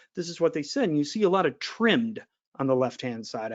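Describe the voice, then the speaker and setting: He speaks at a high pitch for a man. His pitch swings very widely. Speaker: market research analyst. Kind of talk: webinar presentation. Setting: online webinar. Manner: fast.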